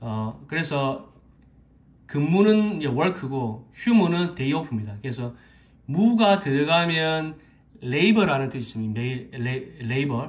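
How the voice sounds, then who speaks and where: This man's voice is fairly high and somewhat breathy, with lively intonation. He speaks very slowly. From South Korea. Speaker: Korean language teacher on YouTube. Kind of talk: tutorial; lecture. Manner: halting, many fillers. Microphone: phone near.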